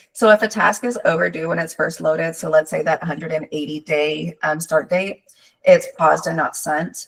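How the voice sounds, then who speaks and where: A woman's raspy put-on character voice, fairly low in pitch, at a moderate pace. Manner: fast, rapid-fire.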